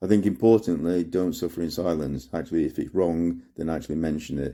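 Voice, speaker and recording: Recorded very cleanly against a silent background, the voice has a dark, mellow tone with vocal fry, a British accent, fairly even intonation and a fairly quick pace. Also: man. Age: 60s. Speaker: amputee sharing advice. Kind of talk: testimony.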